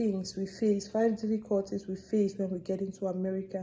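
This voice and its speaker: A woman with a medium pitch and a dark, mellow, somewhat breathy tone speaks at a moderate pace with an African accent. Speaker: vlogger. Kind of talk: casual vlog monologue. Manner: animated.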